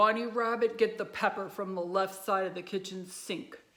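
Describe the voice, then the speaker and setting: Using a put-on character voice, a woman growls at a medium pitch with fairly even intonation and a moderate pace. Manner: growling.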